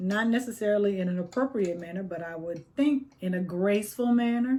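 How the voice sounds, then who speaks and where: A woman talks at a moderate pace with ordinary pitch variation. Her tone is dark and mellow, and somewhat breathy. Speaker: tarot reader. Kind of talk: tarot reading. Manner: animated.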